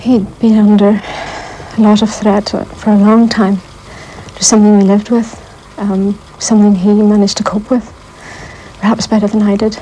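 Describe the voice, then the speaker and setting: Over light background noise, a woman speaks at a moderate pace with monotone, flat intonation and long, frequent pauses. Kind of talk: interview answer. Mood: grieving, subdued. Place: home room.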